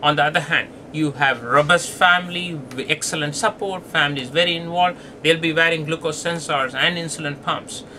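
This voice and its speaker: A fairly high-pitched man at a fairly quick pace, with fairly even intonation and noticeable background noise. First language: not English. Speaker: pediatric diabetes doctor. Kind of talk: lecture.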